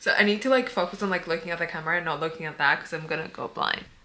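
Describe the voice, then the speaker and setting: A woman's fairly low voice with ordinary pitch variation over noticeable background noise. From Cyprus. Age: 20s. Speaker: vlogger and weightlifter. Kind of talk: casual vlog talk to camera. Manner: chatty, filler-heavy.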